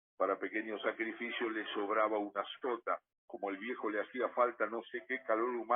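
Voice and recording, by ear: The intonation stays fairly even while someone is reading aloud in a natural voice over a quiet background.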